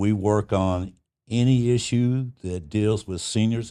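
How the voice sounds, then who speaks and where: A man's pitch varies in an ordinary way in this very clean recording with a silent background. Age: 70s. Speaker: retiree advocacy leader, union activist. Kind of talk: interview. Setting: union hall.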